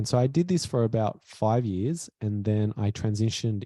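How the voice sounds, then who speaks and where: A man with a non-native accent, medium pitch and a dark, mellow tone at a moderate pace, dry and close with no echo. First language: not English. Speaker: author and former health coach. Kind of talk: interview.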